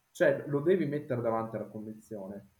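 Somewhat breathy and dark, mellow in tone, a man speaks at a medium pitch and a fairly quick pace. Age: 30s. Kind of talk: casual chat.

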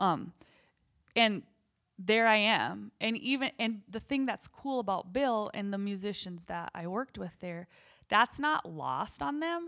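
A woman talks in an animated tone with a rural northern US accent and ordinary pitch variation. The recording is very clean, with a silent background. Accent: noticeable rural northern US. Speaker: singer-songwriter and podcast host. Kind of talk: casual chat with husband, plus column reading. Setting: home, recording with husband. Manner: animated, laughs often.

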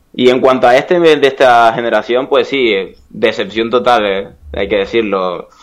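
A man speaks at a moderate pace with medium pitch and ordinary pitch variation. His is an unremarkable speaking voice. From Canary Islands, Spain. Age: 20s. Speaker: esports video game player. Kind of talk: casual interview.

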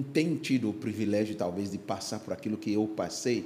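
A man's fairly low voice with a dark, mellow tone. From Ghana, Accra. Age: 60s. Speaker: pastor. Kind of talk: casual chat. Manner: halting.

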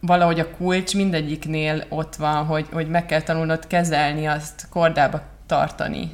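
Against noticeable background noise, a woman with a very deep, low voice speaks at a moderate pace in a monotone, flat way. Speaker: marketing consultant and podcast co-host. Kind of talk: casual chat. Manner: halting.

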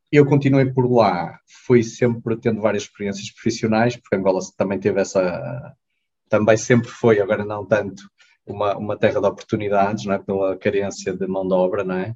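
A man with a somewhat breathy, dark, mellow voice of fairly low pitch speaks at a moderate pace with ordinary pitch variation. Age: 30s. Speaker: clinic manager, former volunteer. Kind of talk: casual interview.

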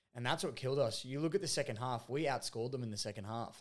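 Speaking at a fairly quick pace, a man with an Australian accent talks at a medium pitch. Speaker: football podcast co-host. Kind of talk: casual chat.

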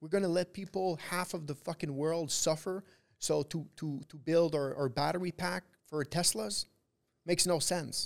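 A man with a Quebec accent speaks at a moderate pace and a fairly high pitch. The sound is dry and close with no echo, and his pitch varies in an ordinary way. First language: French. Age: 20s. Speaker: trader. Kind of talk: casual interview. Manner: halting.

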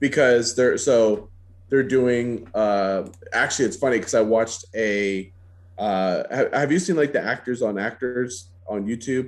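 With an unremarkable speaking voice, a man talks at a fairly slow pace and medium pitch, his pitch varying in an ordinary way over a quiet background. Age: 30s. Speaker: podcast co-host and cosplayer. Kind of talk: casual chat.

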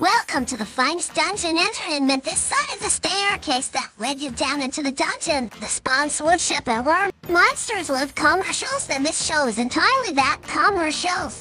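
A woman performs a put-on character voice. Her pitch is high and her pace moderate. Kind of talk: announcer. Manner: bellowing.

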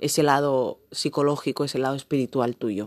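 A woman's very deep, low voice at a moderate pace with fairly even intonation, dry and close with no echo, in a quiet background. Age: 20s. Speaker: podcast host. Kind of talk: motivational talk.

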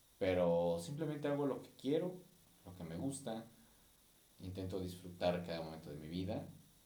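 In a room with audible echo, a man with a very deep, low pitch talks at a moderate pace, his intonation lively, his loudness swinging widely, with long, frequent pauses. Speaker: podcast host and musician. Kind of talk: casual monologue. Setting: recording on camera. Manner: halting.

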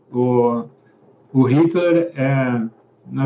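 Fairly even in intonation, a man talks in a dark, mellow tone. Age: 50s. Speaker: book club host, musician and tech worker. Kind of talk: casual chat. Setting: live stream. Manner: hesitant, repetitive.

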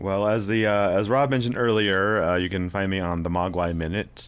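At a moderate pace, a man talks with an American accent and ordinary pitch variation. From US South. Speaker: podcast host. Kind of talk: casual chat.

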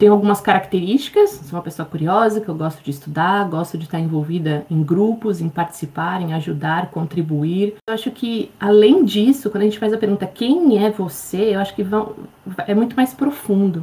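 A woman's somewhat breathy, dark, mellow voice at a medium pitch, moderate pace and ordinary pitch variation, with hardly any pauses. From Brazil. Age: 40s. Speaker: life coach. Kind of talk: interview.

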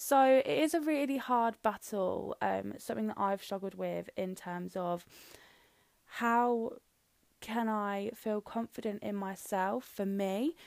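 A woman with a British accent talks very slowly, her pitch varying in an ordinary way. The recording is very clean, with a silent background. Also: medium pitch for a woman. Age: young. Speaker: podcast host. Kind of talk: solo monologue podcast. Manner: casual, with frequent fillers.

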